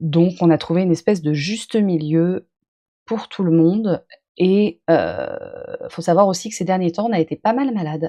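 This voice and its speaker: A woman talks fairly slowly in a dark, mellow tone. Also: medium pitch for a woman, ordinary pitch variation, dry, close sound with no echo. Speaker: streamer reacting to own video. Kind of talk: live stream reaction chat.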